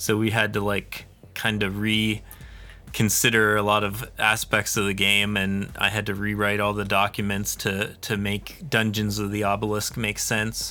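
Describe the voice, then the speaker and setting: Over music in the background, a man with an American accent talks at a fairly slow pace with hardly any pauses, his fairly low voice monotone and flat. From Pennsylvania. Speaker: podcast host, indie game studio founder. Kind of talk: casual chat.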